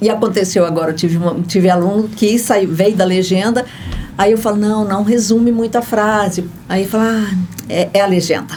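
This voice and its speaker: A woman's voice at very even loudness, with audible room echo and noticeable background noise. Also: medium pitch for a woman, moderate pace. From Goiás, Brazil. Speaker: voice actress and dubbing translator. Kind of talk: interview.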